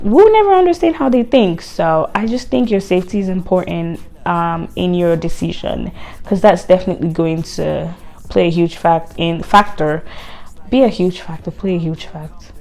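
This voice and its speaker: Moderately paced speech from a woman with a non-native accent. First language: not English. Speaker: lifestyle vlogger. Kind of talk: casual vlog talk.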